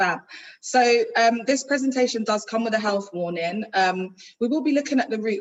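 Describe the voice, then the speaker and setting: A woman speaks with a London accent. Her pace is moderate and her pitch variation ordinary. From London (Ladbroke Grove, west London). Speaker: youth violence project manager, guest speaker. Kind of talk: presentation. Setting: hybrid online event. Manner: projecting loudly. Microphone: too quiet at first.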